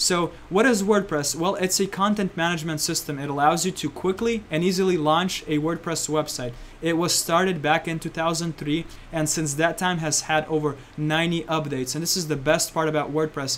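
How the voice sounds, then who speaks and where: This man has an unremarkable speaking voice, fairly high in pitch. He talks at a fairly quick pace with fairly even intonation. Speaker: online marketing instructor. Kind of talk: presentation.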